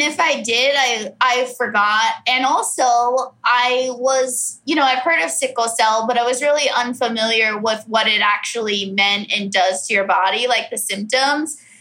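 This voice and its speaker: Hardly any pauses break up a woman's high-pitched speech, which has a Californian accent and a fairly slow pace. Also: ordinary pitch variation. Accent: Californian American. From US West, Orange County, California. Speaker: comedian. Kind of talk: casual chat.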